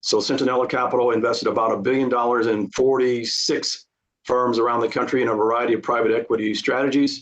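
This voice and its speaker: A man speaks very fast at a medium pitch in a flat monotone. His loudness stays very even. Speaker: witness at tax appeal hearing. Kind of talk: testimony. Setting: video call.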